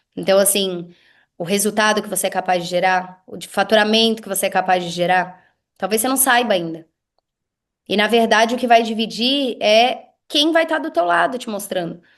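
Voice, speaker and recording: A woman speaks at medium pitch with ordinary pitch variation and an animated tone. Her loudness swings widely against a quiet background. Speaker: business mentor. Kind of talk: casual chat. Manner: fast.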